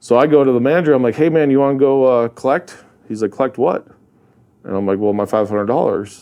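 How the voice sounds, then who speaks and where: The speaker has a North Dakota accent and a dark, mellow tone. The pace is fairly quick and the intonation lively. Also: man. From North Dakota, US (Hazen, central). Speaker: real estate investor and rancher. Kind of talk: casual interview chat. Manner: animated storytelling.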